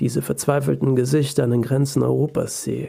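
A male voice at medium pitch, dark and mellow in tone, somewhat breathy, at a moderate pace. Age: 20s. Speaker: podcast host and author. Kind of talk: personal essay monologue. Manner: emotional.

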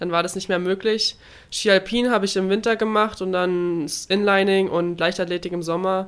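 A woman's plain, everyday voice at a medium pitch, fairly quick in pace, with fairly even intonation. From Baden-Württemberg, southern Germany. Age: 20s. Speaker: Olympic swimmer. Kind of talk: interview.

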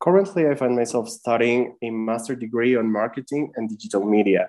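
A man's medium-pitched voice with a Spanish accent, at a moderate pace against a quiet background. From Mexico City. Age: 30s. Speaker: marketing and design freelancer. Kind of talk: interview. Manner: halting.

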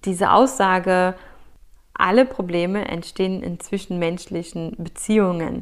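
Recorded very cleanly against a silent background, a woman speaks at a very slow pace with a medium pitch. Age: 30s. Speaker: podcast host. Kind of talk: solo podcast monologue.

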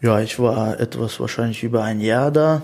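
A man talks at a fairly slow pace. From Russia, Russian-German family, moved to Germany at 12. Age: 30s. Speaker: tradesman and business owner. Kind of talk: interview. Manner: many hesitations and fillers.

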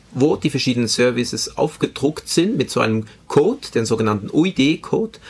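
A man's fairly high-pitched voice with very wide pitch swings at a moderate pace, on a very clean recording with a silent background. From Switzerland, Spanish immigrant family. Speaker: IT project manager. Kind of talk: interview.

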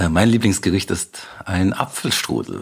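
Vocal fry marks a man's very deep, low voice, which moves at a moderate pace with ordinary pitch variation. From Bavaria, rural area near Munich. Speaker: festival founder and migration activist. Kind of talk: interview. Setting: remote call.

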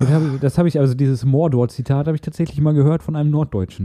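Speaking at a fairly quick pace, a man with a Ruhr accent has a medium pitch and a dark, mellow tone. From Ruhr area, Castrop-Rauxel. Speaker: podcast co-host. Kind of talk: casual chat.

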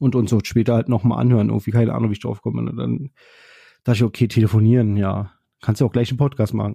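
Against a quiet background, a somewhat breathy man speaks very fast with fairly even intonation, the sound dry and close with no echo. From Berlin, Germany. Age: 30s. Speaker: podcast host, train driver trainee. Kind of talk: casual monologue. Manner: hesitant, many fillers.

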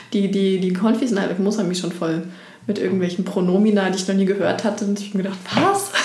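A woman speaks at a medium pitch in a flat monotone, with noticeable background noise and audible room echo. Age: middle-aged. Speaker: pastor. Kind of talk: casual chat.

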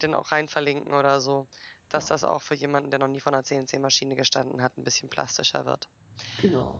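A woman speaks in a very deep, low pitch. Her intonation is monotone and flat, and her pace is fairly quick. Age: 30s. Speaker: podcast host, industrial mechanic. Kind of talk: casual chat.

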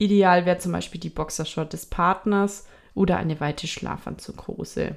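Moderately paced, a woman's speech carries fairly even intonation. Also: fairly low pitch for a woman. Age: 20s. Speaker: podcast co-host. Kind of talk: casual chat.

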